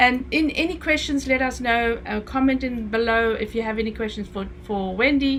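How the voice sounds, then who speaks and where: At a moderate pace, a woman with a Namibian accent talks in a fairly high voice with ordinary pitch variation and hardly any pauses. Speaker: e-commerce coach, show host. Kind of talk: casual chat.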